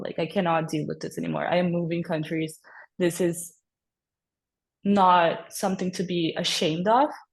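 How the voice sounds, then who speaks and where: A woman speaks with a somewhat breathy voice and fairly even intonation against a quiet background. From Brazil. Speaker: podcast guest, former au pair. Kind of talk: personal testimony in casual interview.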